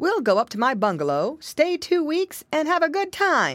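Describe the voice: A woman puts on a character voice, pitched high with a fairly bright tone, swinging very widely in pitch at a moderate pace.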